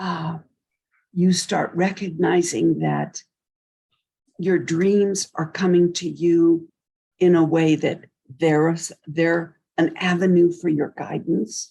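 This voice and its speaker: A woman speaks very slowly with long, frequent pauses in a fairly low pitch. Her tone is dark and mellow, and her intonation is fairly even. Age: 80s+. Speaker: mystic and sound healer. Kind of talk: interview.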